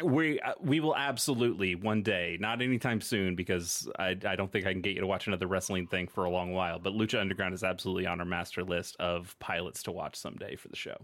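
In a very clean recording with a silent background, a man with a fairly low pitch talks at a fairly quick pace with ordinary pitch variation, a plain, everyday voice. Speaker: podcast host. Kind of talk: casual chat.

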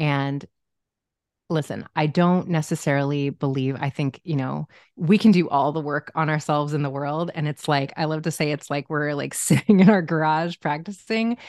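The speaker talks with an American accent. The sound is dry and close with no echo, over a quiet background. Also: woman, very deep, low pitch for a woman, ordinary pitch variation, moderate pace. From US Midwest (Omaha, Nebraska). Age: 40s. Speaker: marriage and family therapist. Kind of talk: interview conversation.

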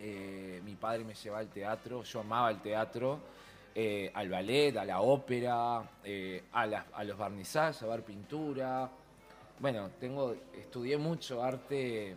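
This man speaks at a fairly slow pace. His pitch is medium, with ordinary pitch variation. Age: 50s. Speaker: costume designer and show producer. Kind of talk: radio interview. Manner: animated.

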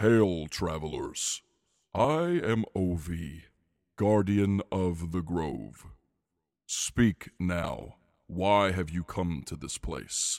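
Using a booming, put-on character voice, a man speaks very slowly at a very deep, low pitch with ordinary pitch variation, on a very clean recording with a silent background. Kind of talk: formal, archaic. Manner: commanding.

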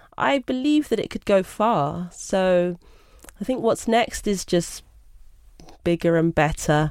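A woman with a London accent, fairly low in pitch, at a fairly slow pace. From London (Brixton), England. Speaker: graphic designer and art director. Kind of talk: interview.

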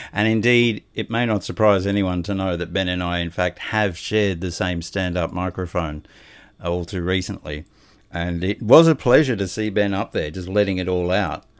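Very deep and low in pitch, a man speaks with an Australian accent. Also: ordinary pitch variation, moderate pace. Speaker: podcast host. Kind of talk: casual interview chat. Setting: video call.

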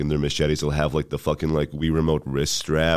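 A man's voice at a very deep, low pitch. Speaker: comedian. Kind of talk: casual chat.

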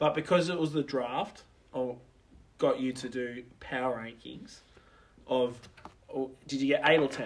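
In an Australian accent, a man speaks at a medium pitch and a moderate pace. His intonation is fairly even, broken by long, frequent pauses. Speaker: sports podcast co-host. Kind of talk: casual chat.

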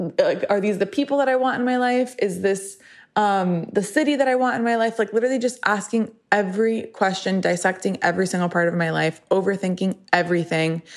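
An animated woman's voice at a medium pitch, fairly quick in pace, with ordinary pitch variation, very even loudness, and a quiet background. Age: 30s. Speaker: podcast host. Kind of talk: solo monologue.

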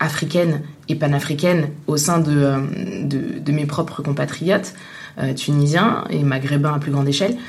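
Speech comes at a very slow pace. Noticeable background noise and audible room echo are present. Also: woman. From Tunisia. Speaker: journalist. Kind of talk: interview. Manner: hesitant, many fillers.

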